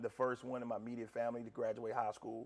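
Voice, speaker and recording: At a fairly quick pace, a man speaks in a medium-pitched voice with a North Carolina accent. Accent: US Southern (North Carolina). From North Carolina (Gastonia). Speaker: college basketball head coach. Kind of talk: interview. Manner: loud.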